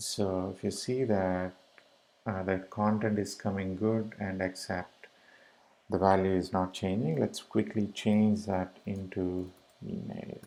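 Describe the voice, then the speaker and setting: Very slowly and in a flat monotone, a man with an Indian accent speaks at a fairly low pitch in a dark, mellow tone. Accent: Indian English (Tamil). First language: Tamil. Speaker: web developer tutorial maker. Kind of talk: screencast coding tutorial. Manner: casual, hesitant with fillers.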